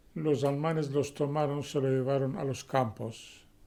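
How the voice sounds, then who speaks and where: A man's fairly high voice with a dark, mellow tone and fairly even intonation. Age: 60s. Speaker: interviewee. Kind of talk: interview.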